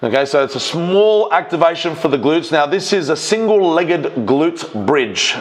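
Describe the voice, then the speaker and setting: Over noticeable background noise, a man with an Australian accent speaks at a fairly quick pace with lively intonation. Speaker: strength coach and powerlifter. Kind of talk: voiceover commentary on own training video. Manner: fast; casual, with fillers.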